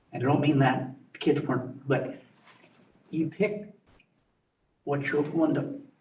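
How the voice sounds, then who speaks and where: This man's voice sits fairly high, with ordinary pitch variation and long, frequent pauses. Room echo is audible. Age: 70s. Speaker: school board member and former teacher. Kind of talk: board meeting discussion. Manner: halting.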